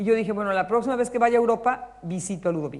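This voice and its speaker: Speech comes at a fairly quick pace, with noticeable background noise behind it. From Mexico, Puebla. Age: 60s. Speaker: writer. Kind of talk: public talk with audience. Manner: halting, with repetitions.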